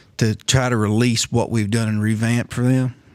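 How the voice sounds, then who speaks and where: A man's medium-pitched voice at a moderate pace, in a monotone, flat intonation. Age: 40s. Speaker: martial arts and self-defense instructor. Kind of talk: storytelling in a casual podcast chat.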